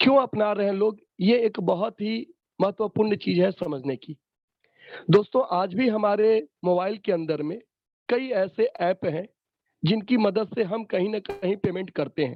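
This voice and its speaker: A man's high voice shows ordinary pitch variation. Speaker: online workshop trainer. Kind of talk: sales pitch.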